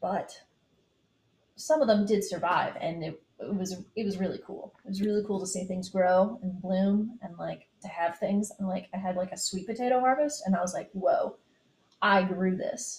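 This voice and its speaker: A woman talks in an ordinary speaking voice at medium pitch. Her pace is moderate and her pitch variation ordinary. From US South, Eastern Kentucky. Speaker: electrical engineer and gardener. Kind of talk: casual chat.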